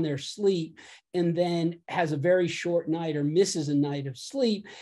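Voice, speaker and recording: With an American accent, a man speaks at a fairly slow pace and high pitch, with ordinary pitch variation. His tone is dark and mellow over a quiet background. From United States. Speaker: physician. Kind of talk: lecture. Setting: video call. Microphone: video call.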